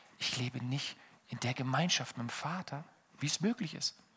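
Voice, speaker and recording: A man talks in an animated way, his tone bright and sharp. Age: 30s. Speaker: pastor. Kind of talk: sermon.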